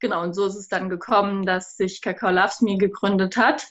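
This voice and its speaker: At a moderate pace, a woman talks in an ordinary speaking voice of medium pitch. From southern Germany. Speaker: cacao business co-founder. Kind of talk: interview.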